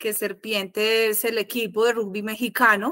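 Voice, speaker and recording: A woman's fairly high, bright, sharp voice in a strong Colombian paisa accent, flat and monotone, in a very clean recording with a silent background. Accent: Colombian (paisa), still strong. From Colombia, Salento (Quindío). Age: 40s. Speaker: architect. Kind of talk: casual chat.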